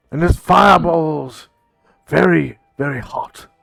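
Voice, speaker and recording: A man's put-on character voice, fairly high in pitch and fairly slow, over faint music in the background. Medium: actual play. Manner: earnest, slightly formal.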